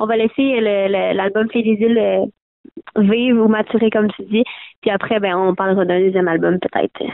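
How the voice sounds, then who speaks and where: A woman with a Quebec accent at a fairly slow pace. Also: medium pitch for a woman, very even loudness. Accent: Québécois French. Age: young. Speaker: folk-country singer. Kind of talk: interview. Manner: energetic.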